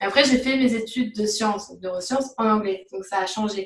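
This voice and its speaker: A woman with a normal speaking voice, a fairly high pitch and ordinary pitch variation. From France, Paris region. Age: 20s. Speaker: neuroscience graduate student. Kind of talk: interview.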